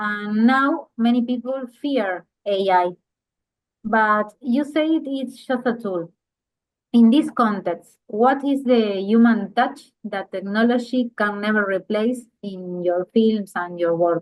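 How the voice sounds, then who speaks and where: At a very slow pace, a woman speaks with a Spanish accent and ordinary pitch variation. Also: fairly high pitch for a woman. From Uruguay. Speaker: interviewer. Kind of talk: interview, reading prepared questions.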